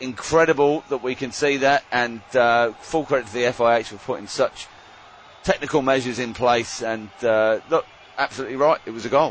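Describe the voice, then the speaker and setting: A man speaks with fairly even intonation. Noticeable background noise runs underneath. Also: medium pitch for a man, moderate pace. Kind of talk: sports commentary, live colour commentary with jokes.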